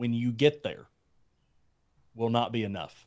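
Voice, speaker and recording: The speaker is a man with a medium-pitched voice. He keeps a moderate pace. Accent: Southern US. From Alabama. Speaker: YouTube Bible teacher and entrepreneur. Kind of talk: casual interview chat.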